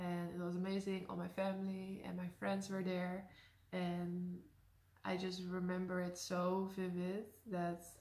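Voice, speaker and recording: A woman with a Dutch accent speaks at a fairly slow pace. Her intonation is flat and monotone. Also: medium pitch for a woman. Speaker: YouTuber. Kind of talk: casual talk to camera.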